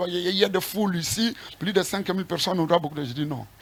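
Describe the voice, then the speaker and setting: Against noticeable background noise, a man talks at a very fast pace in a high pitch. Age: 60s. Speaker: apostle, church leader. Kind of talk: interview.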